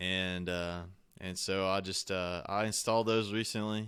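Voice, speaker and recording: Recorded very cleanly against a silent background, a man talks at a fairly slow pace in a bright, sharp tone. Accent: Southern US. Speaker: podcast host, homesteader. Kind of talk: casual chat. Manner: halting, many fillers.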